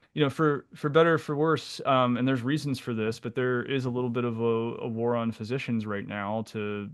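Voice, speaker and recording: Someone with an American accent talks at a fairly quick pace in a plain, everyday voice. The background is quiet. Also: man. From Pennsylvania, US. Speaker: naturopathic physician, podcast co-host. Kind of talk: casual conversational podcast discussion. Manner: casual, with frequent fillers and repetitions.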